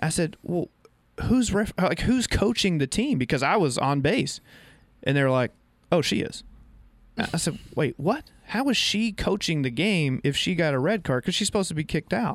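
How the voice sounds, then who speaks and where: In a very clean recording with a silent background, a man speaks at a moderate pace in a high pitch, with very wide pitch swings and very even loudness. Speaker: radio co-host and volleyball coach. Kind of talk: local radio sports show chat, ad read. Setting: radio studio. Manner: casual, conversational.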